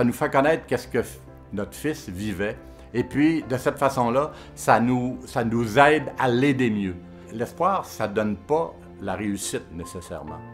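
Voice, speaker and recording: A man of medium pitch at a fairly slow pace, lively intonation, music in the background. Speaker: father of a son with schizophrenia. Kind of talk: testimonial interview answer. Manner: emotional, hesitant.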